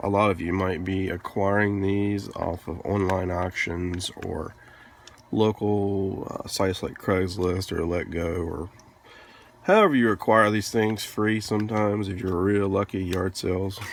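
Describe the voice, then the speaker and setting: Speech comes at a fairly slow pace. Noticeable background noise is present. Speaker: retro game hobbyist. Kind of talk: tutorial narration. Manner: casual, hesitant.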